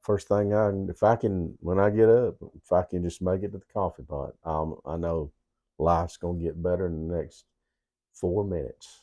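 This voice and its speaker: Over a quiet background, a man with a Southern US accent speaks in a very deep, low voice with a dark, mellow tone. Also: ordinary pitch variation, moderate pace. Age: 60s. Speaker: co-host. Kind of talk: casual chat. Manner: halting.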